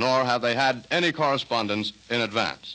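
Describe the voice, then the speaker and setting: Lively intonation runs through speech at a moderate pace. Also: man. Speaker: radio announcer. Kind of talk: 1930s radio announcer introduction, formal broadcast style. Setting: radio studio. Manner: formal, polished, slightly stilted. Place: studio. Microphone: old recording.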